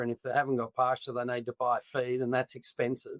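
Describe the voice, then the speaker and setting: An Australian accent from a man of medium pitch, bright and sharp in tone, in a dry, close sound with no echo. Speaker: agtech company founder. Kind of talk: interview. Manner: hesitant, many fillers.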